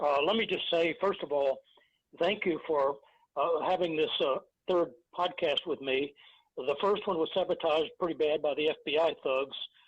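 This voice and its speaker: A man with an American accent, high pitch for a man, fairly even intonation and a moderate pace. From Texas. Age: 70s. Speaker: former FBI agent whistleblower. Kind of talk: interview testimony. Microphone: interference or echo on line.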